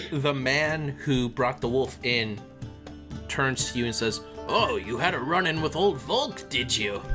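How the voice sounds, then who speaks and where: A man puts on a character voice at a medium pitch, speaking at a fairly slow pace with clear music in the background. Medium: actual play. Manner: jovial, old-fashioned upper-class chatter.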